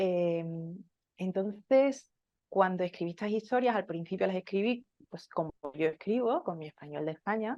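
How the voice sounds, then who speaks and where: A woman speaks at a moderate pace in a fairly low pitch with a dark, mellow tone, recorded dry and close with no echo against a quiet background. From Spain. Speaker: author and medical interpreter. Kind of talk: interview. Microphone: technical problems affecting the call.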